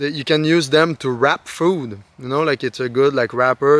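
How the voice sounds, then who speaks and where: A man speaks with a Quebec accent. His intonation is fairly even. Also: dry, close sound with no echo. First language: French. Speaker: outdoor lifestyle vlogger. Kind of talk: casual tutorial. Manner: hesitant, many fillers.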